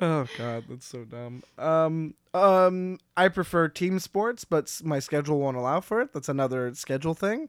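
Pitched fairly high, a man talks at a moderate pace with hardly any pauses, lively intonation and big swings in loudness, in a very clean, dry, close recording with a silent background and no echo. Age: 20s. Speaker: comedian. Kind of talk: casual chat. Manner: animated.

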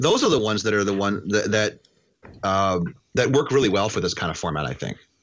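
A man with an American accent talks at a fairly quick pace in a normal speaking voice. His pitch sits fairly low and his intonation is lively. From US Midwest, Wisconsin. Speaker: panelist, web developer.

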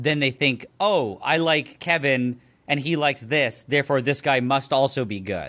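A man's fairly high voice, a normal speaking voice at a moderate pace, ordinary pitch variation, in a very clean recording with a silent background. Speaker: YouTuber. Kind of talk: casual chat.

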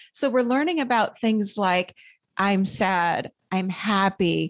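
A woman with an American accent has an unremarkable speaking voice at a medium pitch, with ordinary pitch variation against a quiet background. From upstate New York (Rochester). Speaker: therapist and podcast host. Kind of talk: interview, explaining her self-help model.

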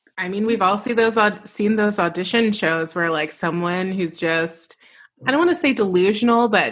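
Here a woman has an ordinary speaking voice with ordinary pitch variation. Her pace is moderate. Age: 30s. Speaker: podcast host and musician. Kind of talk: casual chat.

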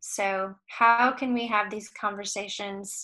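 Over a quiet background, a woman with a medium pitch and a bright, sharp tone speaks very slowly with monotone, flat intonation. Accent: American. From Michigan. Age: 40s. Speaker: music industry consultant and youth group leader. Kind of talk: casual interview chat.

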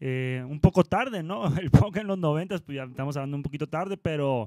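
A man's dark, mellow tone at a fairly high pitch, with lively intonation, big swings in loudness, a fairly quick pace and a dry, close sound with no echo. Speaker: rock musician. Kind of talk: casual chat.

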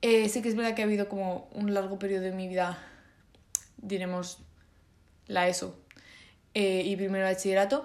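At a medium pitch, a woman talks at a fairly quick pace with fairly even intonation. She leaves long, frequent pauses. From Spain. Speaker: podcaster. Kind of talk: solo casual monologue. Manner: hesitant, many fillers.

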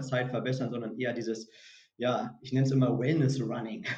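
In a room with audible echo, a man at a medium pitch talks in a monotone, flat way. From northern Germany, Hannover area. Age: 30s. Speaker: recruiting consultant. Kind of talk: podcast interview. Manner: halting, many repeated words.

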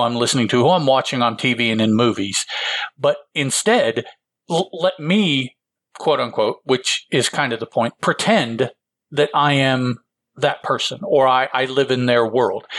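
A man with an American accent speaks in an unremarkable speaking voice at a medium pitch. His pace is fairly slow, in a very clean recording with a silent background. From Illinois, US Midwest. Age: 50s. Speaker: podcast co-host. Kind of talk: casual chat.

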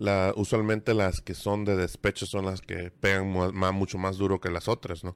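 A man with a Mexican accent speaks at a very deep, low pitch and a moderate pace, his intonation monotone and flat. He hardly pauses, and the recording is very clean with a silent background. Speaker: podcast host. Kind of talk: casual chat.

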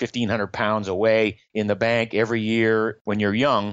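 An unremarkable speaking voice comes through with an American accent. The pace is moderate. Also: man. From Maine, US. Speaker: health blogger and entrepreneur. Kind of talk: interview.

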